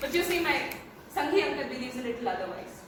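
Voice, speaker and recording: A woman with an Indian accent, very fast pace and lively intonation, over noticeable background noise. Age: young. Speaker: slam poet. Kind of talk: slam poetry performance.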